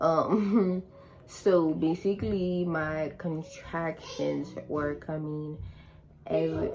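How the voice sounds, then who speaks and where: A woman's voice over noticeable background noise. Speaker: vlogger. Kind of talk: casual storytime.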